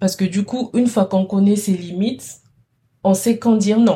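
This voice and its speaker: A woman's dark, mellow, somewhat breathy voice in a very clean recording against a silent background. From DR Congo. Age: 20s. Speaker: chemistry master's student. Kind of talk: interview conversation.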